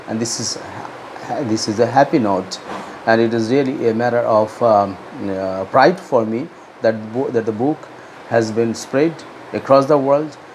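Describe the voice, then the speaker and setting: Over noticeable background noise, a man with a Bengali accent speaks at a fairly slow pace with a medium pitch and ordinary pitch variation. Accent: Indian English, Bengali. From India, West Bengal. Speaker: author. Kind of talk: book promotion talk. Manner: halting, many fillers.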